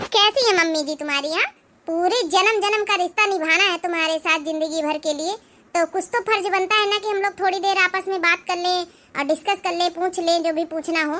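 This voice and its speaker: A woman uses a cartoonish character voice at an extremely high pitch. Her intonation is fairly even and her pace fairly quick. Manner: frank, talkative.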